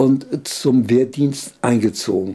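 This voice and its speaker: Very slowly, a man speaks in a dark, mellow tone. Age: 80s+. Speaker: World War II veteran, former fighter pilot. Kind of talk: interview answer.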